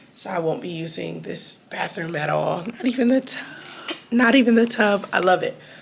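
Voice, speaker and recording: Against noticeable background noise, a woman speaks at a moderate pace at medium pitch, with lively intonation and big swings in loudness. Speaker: travel vlogger. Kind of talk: casual vlog talk to camera.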